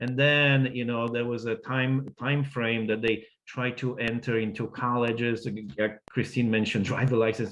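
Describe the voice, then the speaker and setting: A man speaks with a non-native accent at a medium pitch. He keeps a fairly slow pace. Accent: foreign. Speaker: immigrant advocate. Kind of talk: panel discussion. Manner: halting, many fillers.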